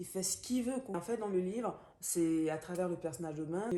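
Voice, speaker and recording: A woman with a Gabonese accent speaks at a moderate pace in a medium pitch, with ordinary pitch variation. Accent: African (Gabonese). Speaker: book vlogger. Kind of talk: book review monologue. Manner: hesitant, many fillers.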